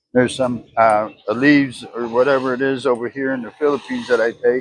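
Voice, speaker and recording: A man with an American accent and a medium pitch, talking at a moderate pace over noticeable background noise. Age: 60s. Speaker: vlogger. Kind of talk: casual monologue.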